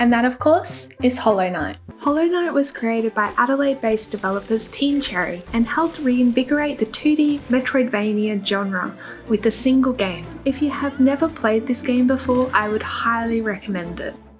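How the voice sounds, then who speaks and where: With an Australian accent, a woman speaks at a high pitch with hardly any pauses against noticeable background noise. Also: ordinary pitch variation, moderate pace. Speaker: gaming YouTuber. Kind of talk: scripted list video narration.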